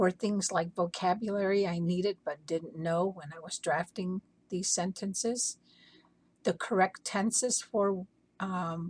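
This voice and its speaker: A somewhat breathy woman with an Arizona accent, medium in pitch with fairly even intonation, in a dry, close sound with no echo. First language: Hopi. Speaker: language educator. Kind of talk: prepared talk. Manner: measured, formal.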